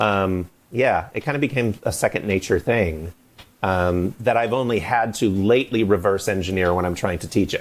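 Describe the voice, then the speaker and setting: Ordinary pitch variation marks this man's fairly low voice. He speaks with an American accent. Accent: slight Scranton accent, varies. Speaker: voice actor. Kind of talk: interview. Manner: animated.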